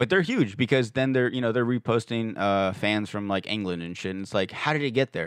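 With a normal speaking voice, a man talks at a fairly quick pace with hardly any pauses and ordinary pitch variation. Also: medium pitch for a man. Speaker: podcaster. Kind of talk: casual chat. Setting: studio.

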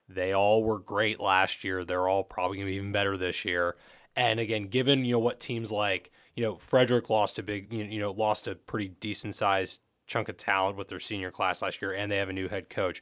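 A man's fairly low voice, flat and monotone, at a fairly quick pace on a very clean recording with a silent background. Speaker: sports reporter. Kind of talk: casual chat. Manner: hesitant, repeats words.

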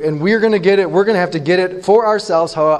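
The clip features a natural reading voice whose pitch varies in an ordinary way.

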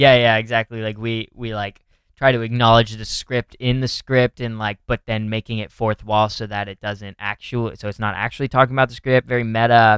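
A man with an American accent speaks at a medium pitch and a fairly quick pace. His intonation is monotone and flat, while his loudness swings a lot. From Northern California. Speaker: podcast host, comedian. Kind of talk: casual chat. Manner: casual, filler-heavy.

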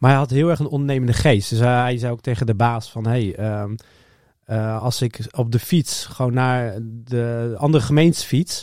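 In a very clean recording with a silent background, a man with a plain, everyday voice speaks at a medium pitch and a moderate pace, with ordinary pitch variation. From Netherlands, Harderwijk (Gelderland). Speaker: entrepreneur, product designer. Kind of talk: interview. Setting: studio.

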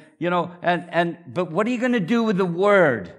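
A man with a northeast Scottish accent, warm in tone, with ordinary pitch variation, on a very clean recording with a silent background. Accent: Scottish, northeast Scots. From northeast Scotland. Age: 70s. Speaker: visiting preacher, church founder. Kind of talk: sermon. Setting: church with congregation. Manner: warm, humorous, preaching.

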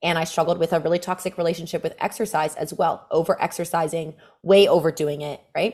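An animated woman's voice, fairly low in pitch, at a fairly quick pace, in a very clean recording with a silent background. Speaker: fitness coach. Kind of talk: casual chat.

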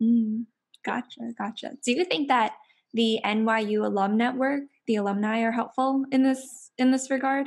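A woman with an American accent speaks in a high voice. Her pace is fairly slow and her intonation fairly even. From New York. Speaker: student podcast host. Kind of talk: casual interview chat.

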